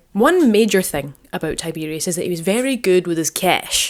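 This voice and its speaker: A woman speaks with a Scottish accent. Her pace is moderate, with ordinary pitch variation. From Scotland. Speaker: archaeologist. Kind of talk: casual history talk to camera. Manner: informal, humorous.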